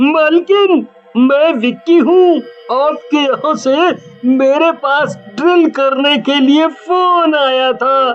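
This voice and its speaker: The speaker uses a cartoonish character voice. The pace is very slow. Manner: cackling, mock-friendly.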